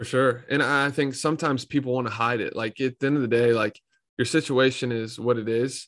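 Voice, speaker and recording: A man with a normal speaking voice, medium pitch, fairly even intonation and a fairly quick pace. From North Carolina (Raleigh). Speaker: entrepreneur and podcast host. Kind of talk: casual interview chat.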